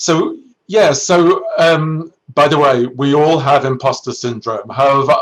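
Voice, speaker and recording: This is a man speaking with a British accent. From Britain. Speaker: neuroscientist and research executive. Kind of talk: career talk to students. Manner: halting, with many self-corrections.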